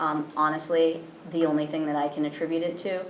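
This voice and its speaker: A woman speaks with an American accent in a very deep, low pitch. Room echo is audible, and background noise is noticeable. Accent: slight Cape Cod accent slipping through. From Cape Cod, Massachusetts. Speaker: school principal. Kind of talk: presentation at school committee meeting. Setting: public committee meeting. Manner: fast; many fillers and repetitions.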